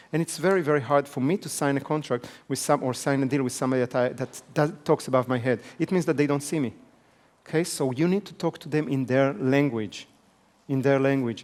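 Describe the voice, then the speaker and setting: A man's fairly high voice with a non-native accent, at a fairly quick pace. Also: ordinary pitch variation. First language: not English. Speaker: business trainer. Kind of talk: seminar lecture. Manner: fast.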